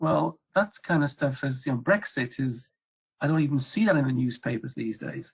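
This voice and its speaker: The speaker talks at a moderate pace with a European accent. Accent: European accent, noticeable. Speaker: regulatory affairs consultant. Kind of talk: webcast presentation. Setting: webcast.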